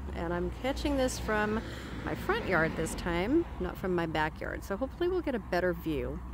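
Noticeable background noise runs under the recording. A woman talks at a moderate pace in a dry sound with no echo. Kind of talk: casual vlog chat. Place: garden. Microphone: phone near.

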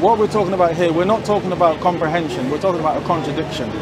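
A man's voice with ordinary pitch variation, dry sound with no echo, and noticeable background noise. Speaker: street preacher debater. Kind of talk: debate argument. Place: street. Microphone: lapel.

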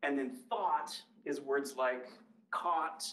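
A man's bright, sharp voice with a Midwestern American accent. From US Midwest. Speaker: linguistics professor. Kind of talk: public lecture. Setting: library talk with live and Zoom audience. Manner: conversational, engages audience with questions. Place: hall.

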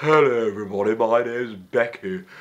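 A man's put-on character voice, medium in pitch.

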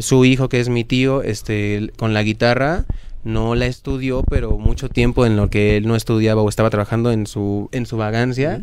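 A man of medium pitch talks at a moderate pace with ordinary pitch variation, in a dry sound with no echo and light background noise. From Mexico. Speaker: band vocalist; guest. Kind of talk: interview. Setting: record shop venue. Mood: relaxed, reflective. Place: studio. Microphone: handheld.

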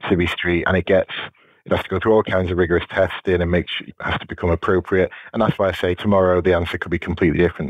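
In a very deep, low voice, a man speaks at a very fast pace with monotone, flat intonation. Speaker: police officer, counter-drone specialist. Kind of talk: interview. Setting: podcast interview.

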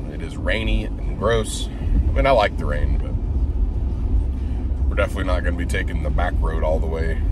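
A man is heard in a dry recording with no echo, with loud background noise. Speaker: vlogger driving to work. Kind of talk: casual vlog chat. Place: car. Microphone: phone near.

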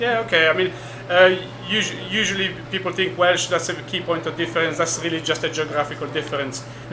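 Noticeable background noise fills the clip. A man speaks at a fairly quick pace. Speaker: guest. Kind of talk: interview answer. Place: bar. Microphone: studio mic.

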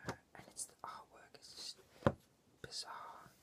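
A man whispers at a fairly slow pace. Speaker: ASMR creator. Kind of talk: ASMR whispered talk about a comic book. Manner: whispered. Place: home room. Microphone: webcam.

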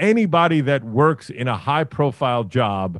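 Against a quiet background, a man's voice makes very wide pitch swings in a dry sound with no echo. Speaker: remote podcast guest. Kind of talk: casual podcast conversation. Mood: opinionated, joking. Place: home room. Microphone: video call.

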